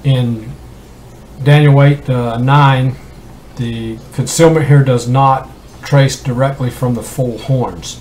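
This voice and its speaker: Amid noticeable background noise, a man of medium pitch speaks very slowly with long, frequent pauses. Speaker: independent Bible teacher. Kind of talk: Bible study talk. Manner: halting, many fillers.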